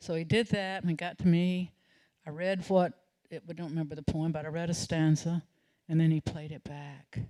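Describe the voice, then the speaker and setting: The voice has a Southern US accent. Its tone is dark and mellow. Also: woman. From US South, North Carolina (Salisbury). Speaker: storyteller. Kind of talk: storytelling performance. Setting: stage with audience.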